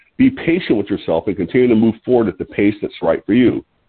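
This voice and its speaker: Here is a plain, everyday voice, as a man at medium pitch talks at a fairly quick pace. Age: 60s. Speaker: health product distributor hosting a weight-loss call. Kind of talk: conference call talk with tips. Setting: phone conference call. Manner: casual, some filler words.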